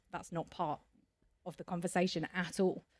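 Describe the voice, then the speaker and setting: A woman talks at a moderate pace. She has an English Midlands accent. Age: 40s. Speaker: cancer survivor and charity trustee. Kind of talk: podcast interview. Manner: hesitant, frequent fillers and repetitions.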